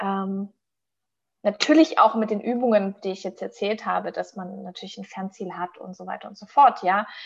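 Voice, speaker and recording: Big swings in loudness mark a woman's speech, delivered at a moderate pace. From Stuttgart region, Swabia. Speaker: company co-founder. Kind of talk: casual chat.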